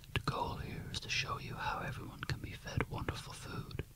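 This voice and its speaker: A man whispering in a soothing tone at a moderate pace, with noticeable background noise. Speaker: gym personal trainer character in roleplay. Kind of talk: ASMR roleplay, gym tour. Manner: whispered, soothing.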